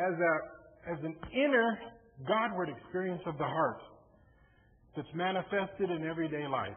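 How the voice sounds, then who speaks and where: A man talks at a moderate pace, his pitch high for a man. Some room echo can be heard. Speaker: lay preacher. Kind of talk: sermon. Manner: mumbly, may slur words.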